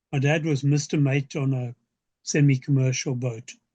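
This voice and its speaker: In a dry, close sound with no echo, a man with a dark, mellow, somewhat breathy tone speaks at a fairly slow pace with monotone, flat intonation. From South Africa. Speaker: science fiction author. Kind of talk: interview answer.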